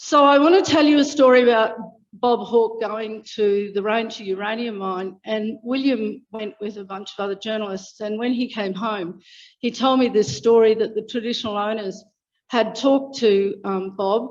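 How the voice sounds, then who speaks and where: A woman's fairly high voice in an Australian accent, with ordinary pitch variation and a moderate pace. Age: 60s. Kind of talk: public speech. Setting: public meeting.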